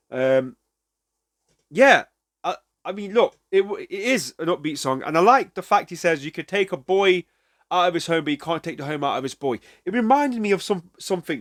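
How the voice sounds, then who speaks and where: Heard with a dry, close sound and no echo, a man with a British accent talks at a fairly quick pace and a high pitch, with lively intonation and long, frequent pauses. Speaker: music reaction youtuber. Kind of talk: casual reaction commentary. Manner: halting, many fillers.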